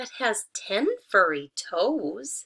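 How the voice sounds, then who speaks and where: A woman uses a put-on character voice, pitched fairly high. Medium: read story.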